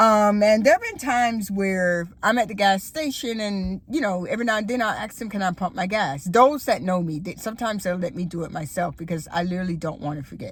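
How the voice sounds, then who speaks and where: Lively intonation and a fairly quick pace with hardly any pauses, in an American accent, over noticeable background noise. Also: woman, medium pitch for a woman. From Florida. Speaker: YouTuber. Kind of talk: casual vlog monologue. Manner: conversational with many fillers.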